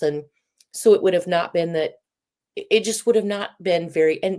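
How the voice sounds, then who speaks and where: A woman's raspy put-on character voice at medium pitch, moderate pace and fairly even intonation. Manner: halting, stumbling over words.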